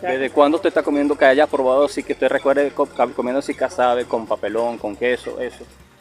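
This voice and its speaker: Speaking at a very fast pace, a man has a fairly high pitch. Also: fairly even intonation, hardly any pauses. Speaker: travel video host. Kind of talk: casual interview.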